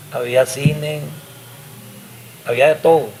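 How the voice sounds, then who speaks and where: A man speaks at a very slow pace with fairly even intonation and a fairly high pitch, over noticeable background noise. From Costa Rica, Nicoya (Guanacaste). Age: 60s. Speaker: musician. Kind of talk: interview storytelling.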